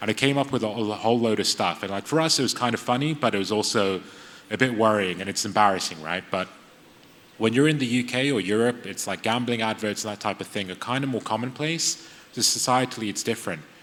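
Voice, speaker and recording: A man with an English accent at a very fast pace, noticeable background noise behind him. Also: medium pitch for a man, ordinary pitch variation. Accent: sounds very English. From UAE. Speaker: AI ethics lecturer, panelist. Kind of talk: panel discussion. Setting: conference stage with audience.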